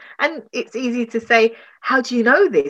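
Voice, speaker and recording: Speaking with a London accent, a woman lets her pitch swing very widely. Behind her, the background stays quiet. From London, Tottenham. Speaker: relationship and grief recovery coach. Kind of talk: interview.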